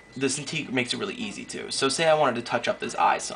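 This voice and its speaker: A man's very fast speech comes through with noticeable background noise behind it. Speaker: digital artist. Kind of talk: casual tutorial narration. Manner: quiet.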